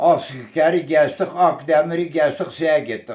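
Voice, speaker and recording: A man with a high pitch talks very slowly in a fairly even intonation. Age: 80s+. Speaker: massacre survivor, elder. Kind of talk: oral history interview answer.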